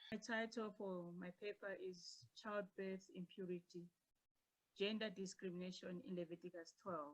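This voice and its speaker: A woman speaks at a moderate pace and medium pitch. Her intonation is fairly even. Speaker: academic presenter. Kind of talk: paper presentation. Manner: soft-spoken.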